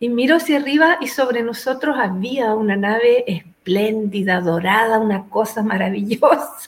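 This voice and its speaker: Here is a woman with an ordinary speaking voice, pitched fairly high and full of lively intonation. She keeps a moderate pace with hardly any pauses. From Chile. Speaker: spiritual teacher and author. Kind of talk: interview testimony.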